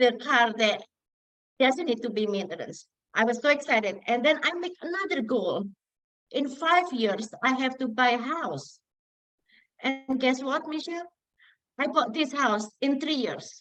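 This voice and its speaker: With a non-native accent, a woman speaks at a fairly slow pace in a high pitch, using lively intonation and long, frequent pauses. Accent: foreign accent, self-described as funny. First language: not English. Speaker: community member sharing success story. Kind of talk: testimony.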